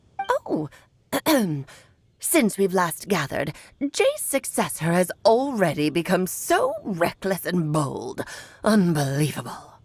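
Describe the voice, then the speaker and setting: The speaker uses a put-on character voice at a fairly slow pace, with long, frequent pauses. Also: female-sounding voice, medium pitch for a woman. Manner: imperious, scolding.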